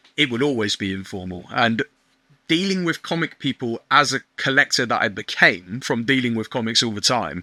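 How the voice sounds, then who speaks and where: The voice is loud with a bright, sharp tone and lively intonation, moving at a moderate pace in a dry, close sound with no echo and a very clean, silent background. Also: man, medium pitch for a man. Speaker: online shop owner. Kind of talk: podcast interview.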